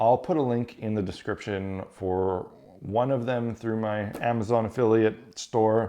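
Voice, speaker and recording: Speaking in a Canadian Prairies accent, a man uses a medium pitch and fairly even intonation at a fairly slow pace. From Canada, Winnipeg, Manitoba. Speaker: YouTube crafting and tabletop terrain creator. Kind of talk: casual Q&A monologue. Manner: casual, conversational with fillers.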